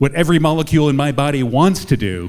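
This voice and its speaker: A man with a fairly high pitch swings very widely up and down as he talks. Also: very clean recording, silent background. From Quebec. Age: 20s. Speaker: comedian. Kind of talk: stand-up.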